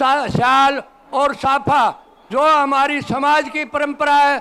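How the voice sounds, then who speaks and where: Raised and projected, a man's voice sits at an extremely high pitch with monotone, flat intonation. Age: 70s. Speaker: community elder. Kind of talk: public speech at ceremony.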